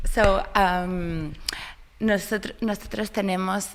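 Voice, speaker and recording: A fairly slow-paced woman in a Spanish accent, with ordinary pitch variation. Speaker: ceramics project representative. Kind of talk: interview.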